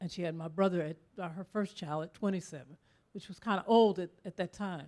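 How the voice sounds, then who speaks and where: Her voice is fairly low with a dark, mellow tone, as a woman speaks at a fairly quick pace with fairly even intonation and big swings in loudness. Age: 60s. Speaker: audience member, lawyer. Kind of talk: audience question.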